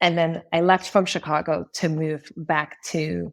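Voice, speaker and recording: Her pitch sits very deep and low, and this woman speaks with an American accent and fairly even intonation. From US Northeast, Springfield, Massachusetts. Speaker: marketing executive. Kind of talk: podcast interview. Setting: remote call.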